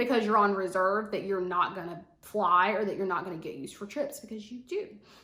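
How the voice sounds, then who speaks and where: Audible room echo surrounds the woman's voice. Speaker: flight attendant vlogger. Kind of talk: casual vlog tutorial.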